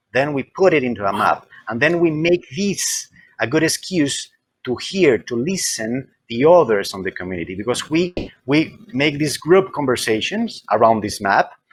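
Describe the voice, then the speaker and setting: A man's fairly high voice moves through very wide pitch swings at a moderate pace. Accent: Spanish. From Colombia, Medellin. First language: Spanish. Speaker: library consultant. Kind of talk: interview. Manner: halting, repeats words.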